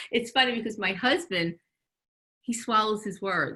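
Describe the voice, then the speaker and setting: A bright, sharp tone at a fairly quick pace. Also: woman. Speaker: retired teacher of the deaf. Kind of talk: interview conversation. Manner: loud, projecting.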